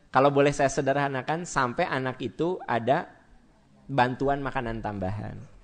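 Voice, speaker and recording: Against a quiet background, a man with a Sundanese accent talks at a moderate pace and medium pitch, with ordinary pitch variation. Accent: Sundanese-accented Indonesian. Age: 40s. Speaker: Islamic preacher. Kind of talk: sermon. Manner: conversational, addressing audience directly.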